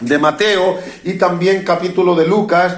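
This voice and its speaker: With music playing in the background and audible room echo, a man speaks with ordinary pitch variation. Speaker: preacher. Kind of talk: sermon. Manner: halting, frequent self-corrections.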